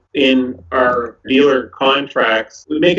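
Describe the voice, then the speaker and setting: Here is a man with an ordinary speaking voice. He has a medium pitch and fairly even intonation. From Moncton, New Brunswick, Canada. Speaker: company president and CEO. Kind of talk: interview answer.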